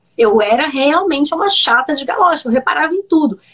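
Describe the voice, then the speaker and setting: A woman speaks with very wide pitch swings. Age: 30s. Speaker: digital influencer and entrepreneur. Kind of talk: personal storytelling interview. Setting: live video stream. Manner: hesitant with many repetitions.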